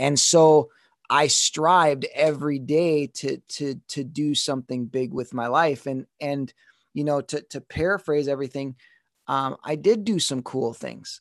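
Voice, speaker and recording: An ordinary speaking voice moves at a fairly slow pace with ordinary pitch variation and a dry, close sound with no echo. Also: man, fairly high pitch for a man. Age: 30s. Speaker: dancer and motivational speaker. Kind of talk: casual interview.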